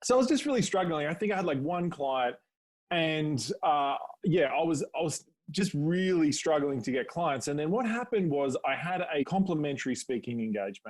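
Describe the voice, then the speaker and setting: This man, with an Australian accent, talks at a moderate pace in a fairly high pitch, recorded very cleanly against a silent background. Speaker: public speaking coach. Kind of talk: podcast interview.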